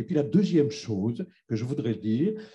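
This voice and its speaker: A man's fairly high, somewhat breathy voice with a dark, mellow tone at a moderate pace. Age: 60s. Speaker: audience member asking a question, retiree. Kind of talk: audience question. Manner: hesitant, many fillers.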